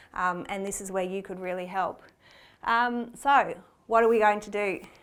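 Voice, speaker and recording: The speech has an Australian accent and fairly even intonation. Loudness swings widely, and room echo is audible. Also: woman, medium pitch for a woman. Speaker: cardiac arrest researcher. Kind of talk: conference presentation. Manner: fast; hesitant, many fillers.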